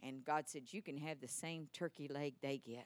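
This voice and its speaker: With a Texan accent, a woman speaks in a very deep, low pitch at a moderate pace with an animated tone. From Texas. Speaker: preacher. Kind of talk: sermon.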